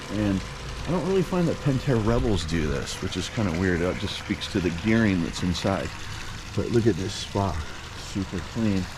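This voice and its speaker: Noticeable background noise and audible room echo surround the recording. A man speaks at a fairly low pitch and a moderate pace with ordinary pitch variation. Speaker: pool service technician. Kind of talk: vlog narration. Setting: in a car. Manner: soft-spoken.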